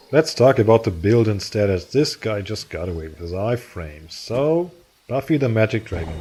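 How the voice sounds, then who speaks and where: With a strong German accent, a man at medium pitch talks at a fairly quick pace with very wide pitch swings. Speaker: gaming YouTuber. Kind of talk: gameplay commentary. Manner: animated.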